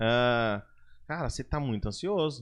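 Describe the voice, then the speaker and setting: A man speaks loudly. The background is quiet. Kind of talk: casual podcast conversation.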